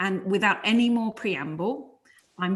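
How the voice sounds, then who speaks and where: In a London accent, a woman speaks at a moderate pace, sounding somewhat breathy, with ordinary pitch variation. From London, England. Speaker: conference convener. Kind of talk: opening remarks.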